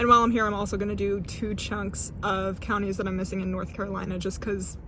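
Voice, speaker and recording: A woman mumbles at a very fast pace. Noticeable background noise runs behind her. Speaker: travel vlogger. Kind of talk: casual talk to camera. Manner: mumbling.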